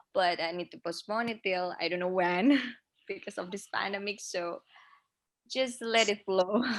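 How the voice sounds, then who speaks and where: A woman with an Indonesian accent talks at a moderate pace in a medium pitch, with ordinary pitch variation and big swings in loudness. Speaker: pageant contestant. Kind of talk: casual chat. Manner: halting.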